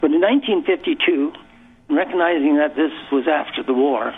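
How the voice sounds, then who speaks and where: A man speaks with a Canadian accent. Noticeable background noise runs behind him. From rural Alberta, Canada. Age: 80s+. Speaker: local historian. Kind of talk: radio interview.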